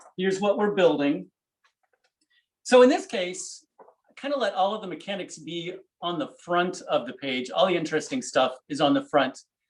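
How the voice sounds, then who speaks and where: The speech moves at a moderate pace. Pitch swings very widely and loudness rises and falls a lot. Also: man, high pitch for a man. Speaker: paper engineer and book artist. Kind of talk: technical demonstration. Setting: video call. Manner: halting.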